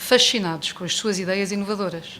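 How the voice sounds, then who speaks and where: Her intonation fairly even, a woman speaks fairly quickly at a medium pitch. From United States. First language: English (speaking Portuguese). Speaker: book presenter. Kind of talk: book launch speech read from notes. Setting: bookstore event with audience.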